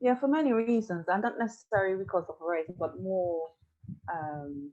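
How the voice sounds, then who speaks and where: Using lively intonation, a woman of medium pitch speaks at a moderate pace in a dark, mellow tone. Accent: West Indian. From Tobago. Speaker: podcast co-host, psychology background. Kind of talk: casual podcast conversation.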